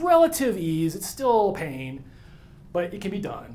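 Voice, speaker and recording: A man with an American accent, audible room echo and noticeable background noise. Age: 50s. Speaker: atmospheric scientist. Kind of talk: conference talk. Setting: stage with audience. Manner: fast; casual.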